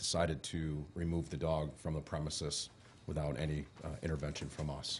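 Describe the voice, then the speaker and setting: Audible room echo surrounds a man's very deep, low voice. He moves at a fairly quick pace in a monotone, flat intonation. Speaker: police chief. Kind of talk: report to council. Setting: city council chamber. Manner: loud; halting.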